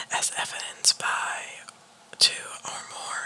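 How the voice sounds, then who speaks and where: Whispering over noticeable background noise. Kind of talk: ASMR whisper reading of clinical diagnostic criteria. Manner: whispered.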